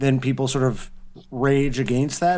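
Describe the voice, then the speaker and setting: A man with a normal speaking voice, fairly high in pitch and with ordinary pitch variation. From Canada, west-end Toronto suburb. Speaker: punk music writer. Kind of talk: casual chat.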